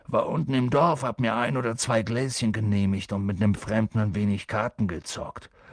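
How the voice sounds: What we hear is a natural reading voice.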